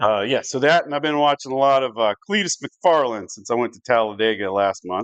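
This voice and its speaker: A man with an American accent talks at a fairly quick pace and medium pitch, with hardly any pauses. His intonation is lively and his loudness swings widely. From US South. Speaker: live-stream craps game host. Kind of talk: live game-play commentary. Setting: home live stream. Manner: casual, conversational.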